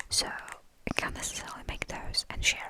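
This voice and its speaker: A whispered voice moves at a fairly slow pace over noticeable background noise. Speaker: ASMR creator. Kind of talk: ASMR rambling.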